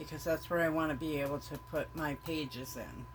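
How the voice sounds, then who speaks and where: Over noticeable background noise, a woman's speech moves at a fairly slow pace. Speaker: crafter, junk journal maker. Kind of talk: tutorial. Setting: filming self on camera. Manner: casual, hesitant with fillers.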